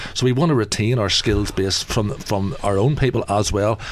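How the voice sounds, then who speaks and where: With an Irish accent, a man speaks fairly quickly at a fairly low pitch over noticeable background noise. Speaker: election candidate. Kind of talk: radio debate. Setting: radio studio. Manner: halting, many repetitions and fillers.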